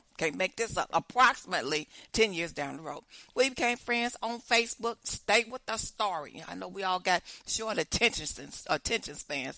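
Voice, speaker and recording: In an American accent, a woman speaks at a moderate pace with a medium pitch, an animated, bright, sharp tone, vocal fry and big swings in loudness, in a dry, close sound with no echo. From Chicago. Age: 60s. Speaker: podcast host. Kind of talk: casual storytelling.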